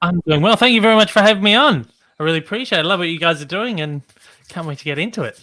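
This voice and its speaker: A man with a Melbourne accent speaks at a very fast pace. His pitch is high, and his intonation is lively. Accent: Australian, vibrant, softer Melbourne variety. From Australia, Melbourne. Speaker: YouTuber, podcast guest. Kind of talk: casual chat. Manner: energetic.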